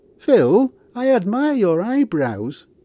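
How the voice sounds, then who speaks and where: This put-on character voice swings very widely in pitch, recorded with a dry, close sound and no echo. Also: man, high pitch for a man. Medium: read story.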